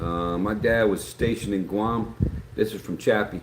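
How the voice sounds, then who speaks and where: Speaking in an Appalachian accent, a man with fairly low pitch and ordinary pitch variation talks at a fairly slow pace. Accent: Appalachian American. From West Virginia, Greenbrier County. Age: 60s. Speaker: YouTuber live streamer. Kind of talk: casual live stream chat. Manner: rambling conversational, many fillers.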